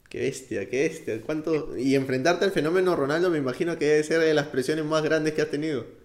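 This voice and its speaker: At a very fast pace, a man speaks with a fairly high pitch. His pitch variation is ordinary. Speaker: podcast host. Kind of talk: interview.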